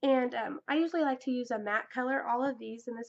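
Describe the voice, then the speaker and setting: Speaking at a moderate pace, a woman has a fairly high pitch and fairly even intonation. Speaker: makeup vlogger. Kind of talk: tutorial. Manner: halting, many fillers; casual.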